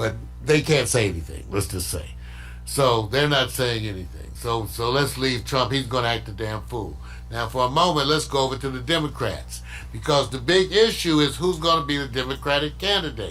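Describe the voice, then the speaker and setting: Music in the background and audible room echo around a man's voice. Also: moderate pace. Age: 60s. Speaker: political commentator. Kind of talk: casual political commentary. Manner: animated.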